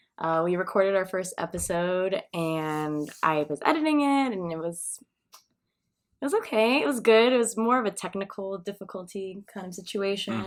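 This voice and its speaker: At a moderate pace, the voice rises and falls with lively intonation. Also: woman, medium pitch for a woman. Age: 20s. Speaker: podcast co-host. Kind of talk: casual chat. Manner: loud; loud laughter.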